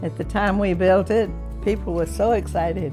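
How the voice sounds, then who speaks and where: With music clearly audible behind her, a woman talks at a moderate pace. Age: 80s+. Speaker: clergy widow. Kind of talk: interview answer. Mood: warm, fond, cheerful. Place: home room.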